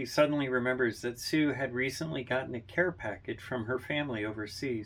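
Natural-voiced reading aloud, pitch moving in an ordinary way

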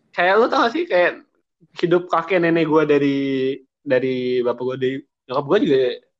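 At a fairly quick pace broken by long, frequent pauses, a man speaks with a fairly high pitch and ordinary pitch variation. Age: 20s. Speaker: podcast co-host. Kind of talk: casual chat.

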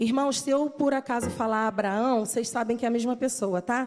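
High-pitched for a woman, her voice rises and falls in an ordinary way at a moderate pace. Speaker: preacher. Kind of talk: sermon. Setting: church.

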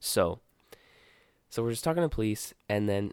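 This man has an ordinary speaking voice with a fairly low pitch and an American accent. He talks at a moderate pace. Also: very clean recording, silent background. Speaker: podcast co-host. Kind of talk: casual chat. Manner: casual, rambling storyteller.

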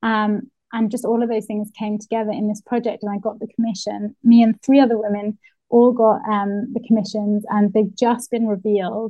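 A woman's somewhat breathy voice, fairly high in pitch, at a moderate pace in a monotone, flat intonation. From northeast England. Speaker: illustrator and muralist. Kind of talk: casual interview.

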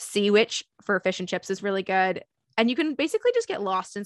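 A woman's unremarkable speaking voice, medium in pitch, at a fairly quick pace with a Canadian accent, in a very clean recording with a silent background and a dry, close sound with no echo. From Toronto, Canada (Leaside). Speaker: podcast host, university program staff. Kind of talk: scripted narration; casual chat.

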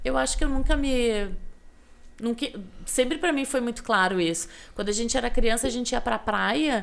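In a southern Brazilian accent, the speaker moves at a moderate pace with lively intonation and long, frequent pauses. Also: woman, fairly high pitch for a woman. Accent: gaúcho Brazilian Portuguese. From Rio Grande do Sul, Brazil (western frontier, Alegrete). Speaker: podcast guest telling her life story. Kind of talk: casual interview chat.

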